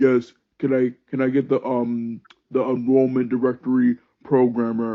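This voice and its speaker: Using a put-on character voice, a man speaks at a moderate pace with a medium pitch and monotone, flat intonation. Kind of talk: adult, serious.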